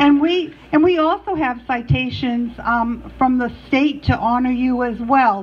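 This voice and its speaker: A woman's high voice is heard with music in the background. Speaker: state representative. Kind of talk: ceremonial proclamation reading. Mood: warm, friendly. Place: hall. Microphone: handheld.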